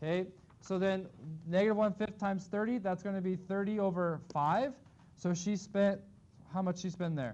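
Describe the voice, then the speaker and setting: Pausing long and often, a man talks at a high pitch with fairly even intonation. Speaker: math teacher. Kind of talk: classroom lecture. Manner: fast.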